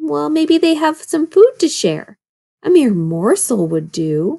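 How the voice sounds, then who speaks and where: In a put-on character voice, a female-sounding speaker growls at a high pitch and a fairly slow pace, with very wide pitch swings. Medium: read story. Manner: grumbling.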